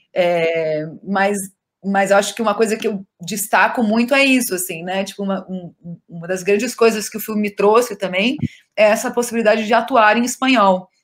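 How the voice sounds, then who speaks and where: A woman's normal speaking voice at medium pitch, with ordinary pitch variation, big swings in loudness and a moderate pace. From southern Brazil (Rio Grande do Sul). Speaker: actress. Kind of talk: interview. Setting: video call.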